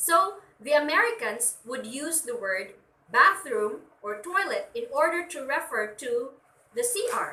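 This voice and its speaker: In a Filipino accent, a woman uses a raised, projected voice with a high pitch, a bright, sharp tone, very wide pitch swings and big swings in loudness at a fairly slow pace, with audible room echo. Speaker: teacher. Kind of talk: lecture.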